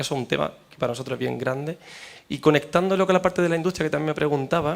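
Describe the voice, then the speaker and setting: Talking very fast, a man uses a fairly high pitch with vocal fry and ordinary pitch variation. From Spain. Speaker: professor and researcher. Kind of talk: panel discussion. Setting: seminar panel with audience.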